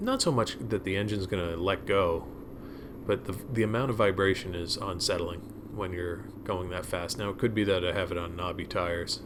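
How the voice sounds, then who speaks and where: With audible room echo, a man speaks at a very deep, low pitch with fairly even intonation. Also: moderate pace. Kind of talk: ride-along commentary. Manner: monotone; halting.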